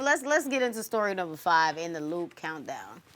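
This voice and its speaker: Very wide pitch swings run through a woman's speech. Noticeable background noise sits behind her. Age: 30s. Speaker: talk show co-host. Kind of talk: casual chat.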